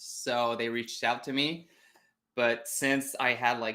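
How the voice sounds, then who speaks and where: A man with a Quebec accent speaks at a medium pitch in a monotone, flat intonation. His tone is bright and sharp, and the recording is very clean with a silent background. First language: French. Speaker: web designer. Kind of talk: interview. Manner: halting.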